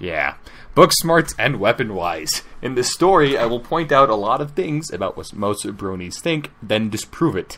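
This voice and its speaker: A man at medium pitch with a bright, sharp tone, vocal fry, very wide pitch swings and a moderate pace. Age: 60s. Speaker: fanfiction narrator. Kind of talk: reading aloud with commentary.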